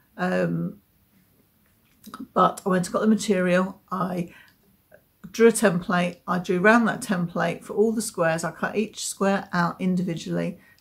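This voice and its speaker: Showing vocal fry, a woman of medium pitch speaks at a moderate pace with fairly even intonation and long, frequent pauses. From southeast England, Essex. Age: 50s. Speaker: knitting podcaster. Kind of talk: casual chat. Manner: hesitant, many fillers.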